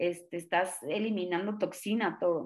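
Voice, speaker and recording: A woman at medium pitch, fairly slow in pace, in a very clean recording with a silent background. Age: 30s. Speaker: stand-up comedian. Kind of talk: casual interview chat. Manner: animated, energetic.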